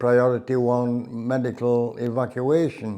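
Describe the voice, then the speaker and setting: Speaking at a very slow pace in a South Yorkshire accent, a man keeps a medium pitch and monotone, flat intonation. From South Yorkshire, near Barnsley. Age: 80s. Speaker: war veteran. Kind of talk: interview reminiscence.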